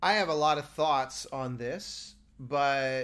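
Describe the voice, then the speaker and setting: Fairly high in pitch, a man talks in a plain, everyday voice with ordinary pitch variation. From United States. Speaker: composer and podcast co-host. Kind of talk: casual chat. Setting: remote call from a hotel room.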